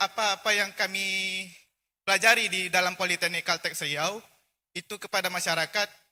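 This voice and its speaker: A man speaks in a raised, projected voice with high pitch, a bright, sharp tone and monotone, flat intonation at a moderate pace, in a dry, close sound with no echo. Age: young. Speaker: college student. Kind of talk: audience question. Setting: hall, at a microphone. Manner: halting, many fillers.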